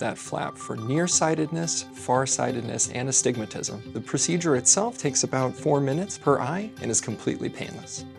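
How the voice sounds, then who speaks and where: With music in the background, a man talks at a moderate pace and medium pitch, using ordinary pitch variation and hardly any pauses. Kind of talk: TV commercial voice-over.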